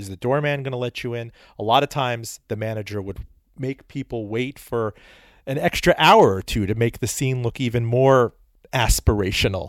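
A man with a normal speaking voice at a medium pitch talks at a fairly quick pace with ordinary pitch variation and big swings in loudness, in a very clean recording with a silent background and a dry, close sound with no echo. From Miami, Florida (born in Iran, moved as small child). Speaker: author and radio host. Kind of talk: interview.

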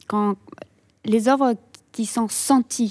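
A woman speaks very slowly in a fairly high voice with a dark, mellow tone and fairly even intonation, recorded very cleanly against a silent background with a dry, close sound and no echo. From Russia. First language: Russian (speaking French). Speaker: visual artist. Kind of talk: radio interview. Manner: halting.

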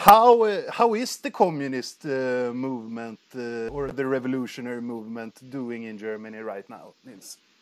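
Speaking in a Swedish accent, a man at a medium pitch talks at a moderate pace with ordinary pitch variation and big swings in loudness. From Sweden. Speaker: podcast host. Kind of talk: casual interview conversation. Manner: halting, repeats words.

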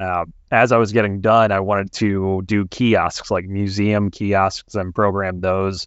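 A man with an American accent speaks fairly slowly at a fairly low pitch in a monotone, flat intonation, with hardly any pauses. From US Midwest, Ohio. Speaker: engineering director. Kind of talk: interview.

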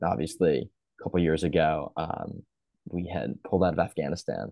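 Here a man talks at a fairly quick pace with a very deep, low pitch. Vocal fry runs through his speech, with ordinary pitch variation. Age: 20s. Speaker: podcast host. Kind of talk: casual chat. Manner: hesitant, many fillers.

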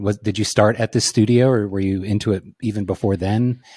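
Speaking very fast with an American accent, a man has a fairly low pitch and a dark, mellow tone. His pitch varies an ordinary amount. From central Virginia. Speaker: photographer podcast host. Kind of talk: casual chat. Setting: video call.

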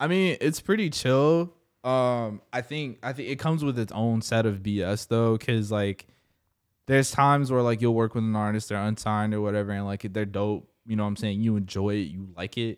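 An unremarkable speaking voice with an American accent, moving at a moderate pace with ordinary pitch variation. The recording is very clean, with a silent background. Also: man, medium pitch for a man. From Jacksonville, Florida (north side). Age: 20s. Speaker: music producer and recording artist. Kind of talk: casual interview chat.

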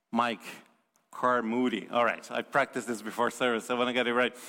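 The tone is bright and sharp, with a Portuguese accent. Intonation stays monotone and flat. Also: man. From Brazil. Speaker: visiting preacher. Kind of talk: sermon. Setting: church.

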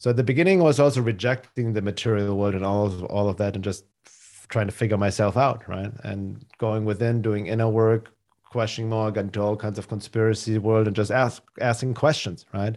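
With a German accent, a man with a fairly low voice talks at a fairly quick pace with hardly any pauses, fairly even intonation and big swings in loudness, on a very clean recording with a silent background. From Germany, Munich. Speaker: spiritual teacher and healer. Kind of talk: casual conversational interview.

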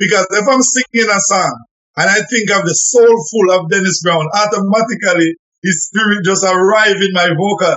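In a Jamaican accent, a man speaks at a high pitch with ordinary pitch variation, a moderate pace and very even loudness. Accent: Jamaican patois-inflected English. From Jamaica, Clarendon. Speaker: reggae singer. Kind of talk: radio interview.

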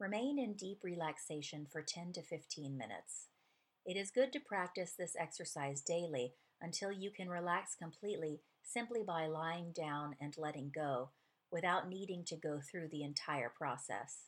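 This woman has an ordinary speaking voice, fairly low in pitch, with lively intonation. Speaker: podcast host narrating a book. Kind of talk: guided meditation read from a book; scripted narration. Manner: slow, calm, soothing, read aloud in a gentle, measured pace with pauses.

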